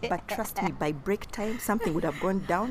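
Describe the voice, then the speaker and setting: Background noise is noticeable as a woman talks. Her tone is animated, and her pitch sits in the medium range. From Uganda. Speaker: podcast co-host. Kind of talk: casual chat. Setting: recorded standing, outside studio.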